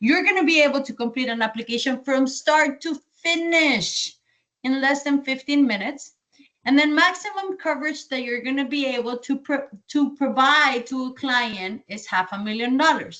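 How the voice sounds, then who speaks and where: The speaker has a slight Colombian accent and a moderate pace. Pitch variation is ordinary. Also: woman, high pitch for a woman. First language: Spanish. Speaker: sales trainer. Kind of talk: training session.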